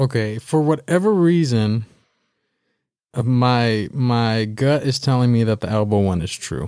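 A man with a Californian accent speaks at a fairly slow pace, his medium pitch and dark, mellow tone showing ordinary pitch variation on a very clean recording with a silent background. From Southern California (Baldwin Park). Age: 20s. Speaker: podcast co-host. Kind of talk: casual chat.

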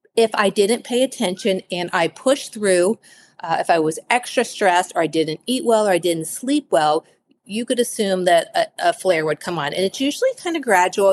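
In an American accent, a woman with an unremarkable speaking voice talks at a moderate pace, medium in pitch with lively intonation, in a dry, close sound with no echo. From Cincinnati, Ohio. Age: 40s. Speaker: author. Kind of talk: interview.

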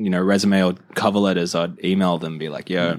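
Someone with an Australian accent speaks fairly quickly on a very clean recording with a silent background. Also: man. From Australia, Illawarra (south of Wollongong). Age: 20s. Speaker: skateboarder and recent university graduate. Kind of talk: casual chat.

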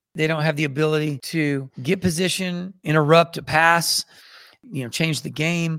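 A man with an ordinary speaking voice talks in a fairly high pitch at a moderate pace with fairly even intonation. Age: 50s. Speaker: martial arts and movement teacher. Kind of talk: interview.

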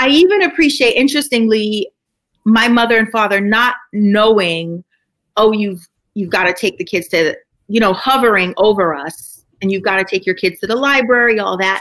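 With an American accent, a woman speaks at a moderate pace in a fairly high voice with lively intonation, a plain, everyday voice. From US Northeast, Brooklyn. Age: 40s. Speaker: psychiatrist. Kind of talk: interview. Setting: video call.

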